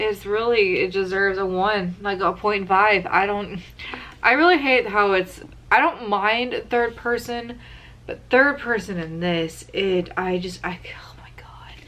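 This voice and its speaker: A woman speaks fairly slowly in an ordinary speaking voice with ordinary pitch variation. Her loudness swings widely. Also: medium pitch for a woman. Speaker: book reviewer. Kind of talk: casual vlog review.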